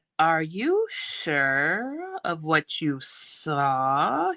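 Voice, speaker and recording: Putting on a character voice, a woman hisses in a menacing, sinister tone at a fairly low pitch. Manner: menacing, slow, sinister.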